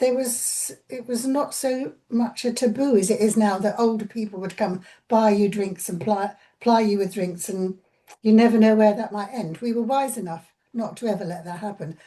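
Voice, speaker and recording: A woman talks at a moderate pace in a fairly high, somewhat breathy voice with a dark, mellow tone and ordinary pitch variation. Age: 80s+. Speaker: interviewee recalling 1960s. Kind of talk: interview reminiscence. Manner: halting, with repetitions.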